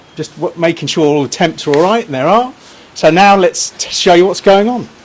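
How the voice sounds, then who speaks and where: A man talks with a high pitch and ordinary pitch variation. He has an English accent, and there is noticeable background noise. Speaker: barbecue shop owner and cooking demonstrator. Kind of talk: live cooking stream. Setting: outdoors. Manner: loud.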